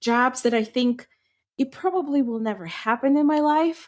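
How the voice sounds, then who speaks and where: With a Ukrainian accent, a woman talks at a moderate pace and a high pitch, with ordinary pitch variation. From western Ukraine. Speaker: podcast co-host, English teacher. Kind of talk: casual chat.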